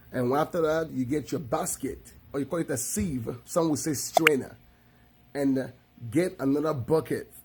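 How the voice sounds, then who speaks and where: Somewhat breathy, fairly high-pitched man's voice with a Nigerian accent and ordinary pitch variation. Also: moderate pace. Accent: Nigerian English (Igbo). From Nigeria (Igbo, village upbringing). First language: Igbo. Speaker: video creator. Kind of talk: tutorial. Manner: casual, repetitive with self-corrections.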